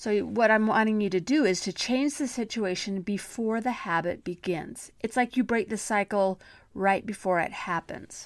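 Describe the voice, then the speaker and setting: The clip has an unremarkable speaking voice at a moderate pace with ordinary pitch variation. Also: woman, very clean recording, silent background. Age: 50s. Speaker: self-help podcast host. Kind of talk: motivational podcast monologue.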